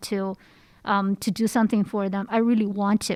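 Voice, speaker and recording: A woman talks fairly slowly with a slight Chinese accent, her pitch fairly high. The recording is very clean, with a silent background. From China. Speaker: research center associate director. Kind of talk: interview.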